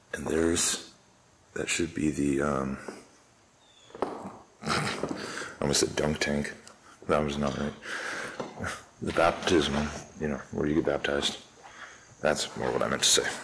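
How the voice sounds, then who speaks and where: Speaking in a very deep, low pitch, a man keeps a monotone, flat intonation at a fairly slow pace. Long, frequent pauses break up his speech, and noticeable background noise is present. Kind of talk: casual vlog commentary. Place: church. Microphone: phone near.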